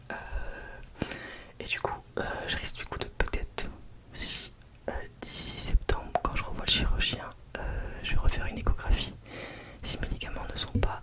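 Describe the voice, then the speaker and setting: Whispering at a fairly slow pace, a woman leaves long, frequent pauses while noticeable background noise runs underneath. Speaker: ASMR content creator. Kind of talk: whispered ASMR storytime talking to the camera. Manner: whispered, soft-spoken.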